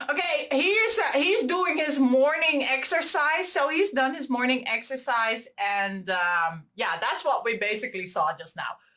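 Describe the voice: A woman speaks at a high pitch and a fairly slow pace, with few pauses. Her tone is bright and sharp, and her pitch varies in an ordinary way.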